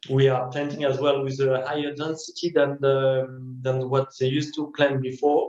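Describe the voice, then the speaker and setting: A man speaks with a French accent at a moderate pace. His fairly high pitch stays monotone and flat. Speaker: winemaker. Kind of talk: interview. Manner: halting, many fillers.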